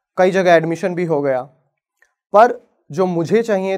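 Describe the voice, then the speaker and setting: Against a quiet background, a man with a high pitch and ordinary pitch variation talks at a fairly slow pace. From Haryana, Bhiwani; Haryana, India. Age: 20s. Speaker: advocate; lawyer. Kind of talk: inspirational talk. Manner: dramatic pauses. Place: stage. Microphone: lapel.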